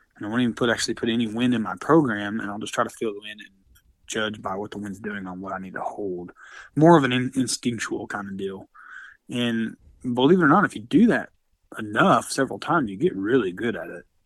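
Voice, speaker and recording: Over a very clean recording with a silent background, a man with an Oklahoma accent races at a very fast pace in a medium pitch, with ordinary pitch variation and big swings in loudness. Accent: Oklahoma rural Southern US. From western Oklahoma. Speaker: competitive precision rifle shooter. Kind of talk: casual interview.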